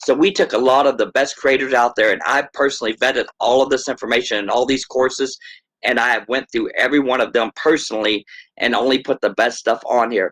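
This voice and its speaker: In a very clean recording with a silent background, a man with an American accent speaks very fast at a medium pitch, his intonation fairly even. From Texas. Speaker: crypto project founder. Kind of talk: project presentation and Q&A. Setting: video or voice call. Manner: fast talker.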